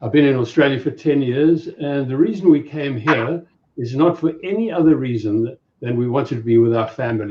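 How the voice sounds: A man speaks at a fairly quick pace in a South African accent, his pitch medium with ordinary variation. His tone is dark and mellow with a slightly husky edge.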